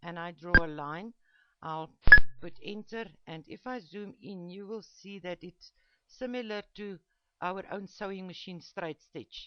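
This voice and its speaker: Fairly slow, medium-pitched speech from a woman with a non-native accent, ordinary pitch variation, and long, frequent pauses. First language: not English. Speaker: embroidery digitizing teacher. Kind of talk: tutorial. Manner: halting, many fillers.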